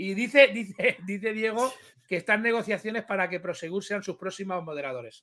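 A man's raised, projected voice has a bright, sharp tone, a high pitch and ordinary pitch variation. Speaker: YouTube streamer. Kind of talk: casual chat. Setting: video call. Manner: crude, blunt.

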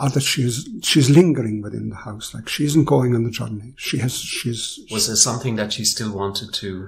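A man speaks at a medium pitch with hardly any pauses. His loudness swings widely, and background noise is noticeable. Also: ordinary pitch variation, moderate pace. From Ireland. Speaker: philosopher. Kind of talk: storytelling interview.

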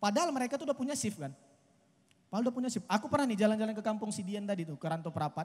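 Lively in intonation and high in pitch, a man speaks at a very fast pace. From Medan, North Sumatra, Indonesia. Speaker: stand-up comedian. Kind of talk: stand-up comedy. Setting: stage with live audience outdoors. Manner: conversational, casual, punchlines paced for laughter and applause. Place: stage. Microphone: handheld.

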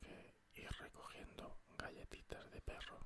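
Very slow whispering from a man. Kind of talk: whispered ASMR gameplay commentary. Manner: whispered, soft.

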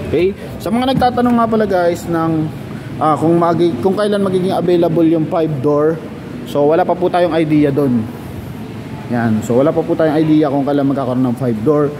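Fairly quick male speech at a fairly high pitch, with lively intonation, very even loudness and noticeable background noise. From Philippines. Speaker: car sales agent. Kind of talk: sales pitch. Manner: animated. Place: shop. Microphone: phone near.

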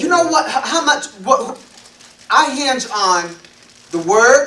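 A man's raised, projected voice at an extremely high pitch, very slow and with lively intonation, amid audible room echo. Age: 50s. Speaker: elder / guest preacher; guest preacher. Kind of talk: sermon. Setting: congregation assembly. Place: meeting room. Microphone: podium.

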